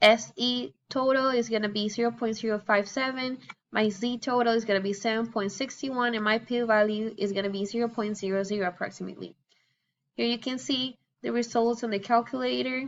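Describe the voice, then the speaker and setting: A woman with a Spanish accent and a fairly high pitch, at a fairly quick pace with fairly even intonation. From Venezuela. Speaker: student. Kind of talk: class presentation. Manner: halting.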